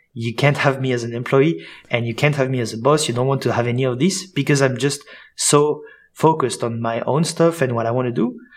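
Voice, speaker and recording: Speaking with a French accent, a man talks fairly quickly at a medium pitch with ordinary pitch variation. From Switzerland and France. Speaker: sales coach and founder. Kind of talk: interview.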